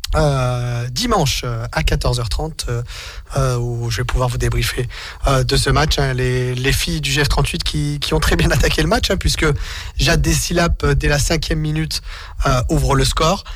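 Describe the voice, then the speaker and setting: A man at a fairly slow pace with long, frequent pauses, plus audible room echo and noticeable background noise. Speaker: radio host. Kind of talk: sports radio show. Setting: radio studio.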